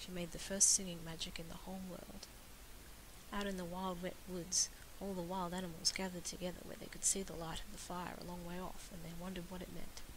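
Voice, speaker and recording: A woman's fairly low, monotone voice with flat intonation, big swings in loudness, and noticeable background noise. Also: fairly quick pace. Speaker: amateur reader of a story. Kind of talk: read-aloud classic story.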